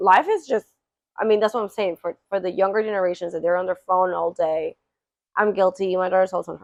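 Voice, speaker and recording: A woman speaks at a very fast pace and medium pitch, with fairly even intonation. Her loudness swings a lot, and the sound is dry and close with no echo. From Peru. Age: 30s. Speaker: podcast host. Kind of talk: casual chat. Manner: halting.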